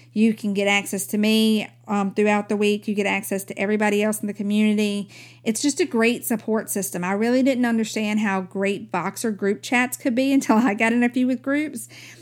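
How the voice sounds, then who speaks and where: An unremarkable speaking voice, this woman talks at a fairly quick pace with a fairly high pitch and ordinary pitch variation on a very clean recording with a silent background. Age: 40s. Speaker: podcast host and mom coach. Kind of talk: casual monologue; sales pitch.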